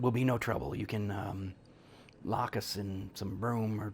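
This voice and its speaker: A man performs a put-on character voice, raspy and fairly low in pitch. Clear background noise runs behind him. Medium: actual play. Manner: halting, folksy, working-class speech.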